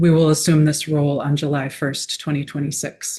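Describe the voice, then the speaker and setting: Soft-spoken and somewhat breathy, a woman talks in a very deep, low pitch with a dark, mellow tone. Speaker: nonprofit executive director. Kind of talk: testimony. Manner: quiet, soft-spoken; formal.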